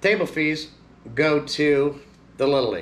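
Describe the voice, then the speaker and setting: The speaker is male. He talks at a very slow pace. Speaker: seller. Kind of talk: casual vlog chat. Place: shop.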